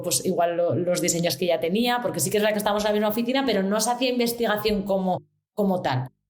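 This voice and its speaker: A woman speaks with lively intonation. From Spain. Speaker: UX designer. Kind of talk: interview. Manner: fast.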